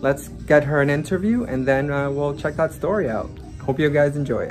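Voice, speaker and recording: A man's fairly high pitch over clear music in the background. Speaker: pediatrician. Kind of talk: casual talk to camera. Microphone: phone near.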